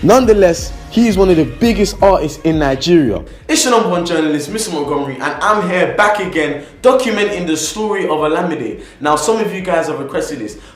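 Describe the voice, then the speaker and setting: With music in the background and audible room echo, a man speaks at a high pitch and a fairly quick pace, his intonation lively, hardly pausing at all. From England. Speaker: YouTuber, music biography narrator. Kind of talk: casual vlog intro; biographical narration. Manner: chatty, informal.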